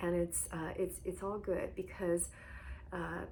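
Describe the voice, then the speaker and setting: A soft-spoken woman at a moderate pace, with audible room echo. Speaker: hyperhidrosis coach. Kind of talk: guided meditation.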